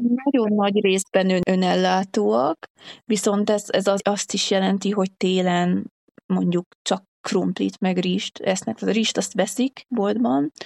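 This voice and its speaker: At a medium pitch and a very slow pace, a woman talks with ordinary pitch variation. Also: very even loudness, dry, close sound with no echo. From Hungary. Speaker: traveller and hitchhiker. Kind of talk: casual interview.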